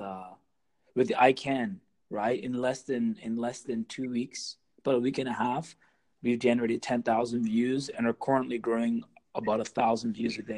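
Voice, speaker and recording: A plain, everyday voice at a moderate pace. Intonation stays fairly even over a quiet background. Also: man. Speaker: musician. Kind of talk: casual chat.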